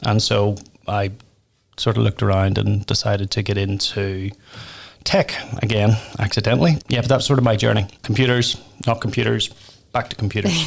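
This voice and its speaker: A man with a Northern Irish accent speaks at a fairly quick pace, yet with long, frequent pauses. His pitch is fairly low and varies in an ordinary way. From Northern Ireland. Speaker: tech company founder and pub owner. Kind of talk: podcast interview.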